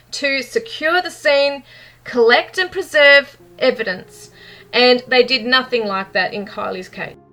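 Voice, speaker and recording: A woman projects a raised voice at a high pitch, her tone bright and sharp. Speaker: true crime YouTuber. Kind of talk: commentary monologue. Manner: animated; fast.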